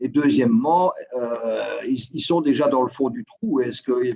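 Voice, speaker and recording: A man speaks with a Belgian accent. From Belgium. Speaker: guest from Belgium. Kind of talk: casual interview.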